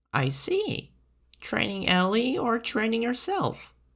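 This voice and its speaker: A put-on character voice, fairly high in pitch, comes at a fairly slow pace. Its pitch swings very widely. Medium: read story. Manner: brisk, dry humor.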